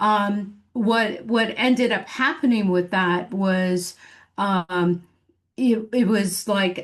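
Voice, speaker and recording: A woman with a Michigan accent talks at a very slow pace. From Michigan, US Midwest. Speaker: business coach. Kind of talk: podcast interview. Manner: many fillers and false starts.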